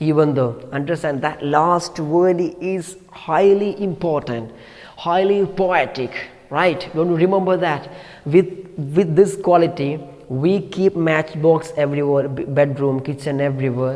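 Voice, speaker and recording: The man's pitch is fairly high. Audible room echo and noticeable background noise accompany him. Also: ordinary pitch variation. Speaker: teacher. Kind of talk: lecture. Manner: fast.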